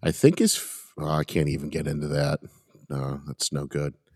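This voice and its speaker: A man speaks. His pitch is very deep and low, and the sound is dry and close with no echo. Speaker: podcast host. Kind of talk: casual banter between friends. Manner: excitable, loud.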